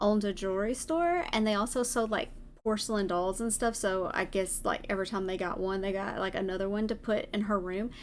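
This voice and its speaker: Here a woman speaks in a Southern US accent at a moderate pace. Her pitch is fairly high with ordinary variation. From US South. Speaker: vtuber streamer. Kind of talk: casual chat. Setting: live stream.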